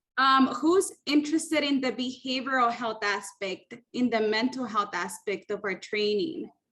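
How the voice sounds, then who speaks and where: A woman with a Spanish accent talks at a moderate pace. Her high-pitched voice carries lively intonation. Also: hardly any pauses. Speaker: training program facilitator. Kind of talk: icebreaker session in an online meeting. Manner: friendly, informal.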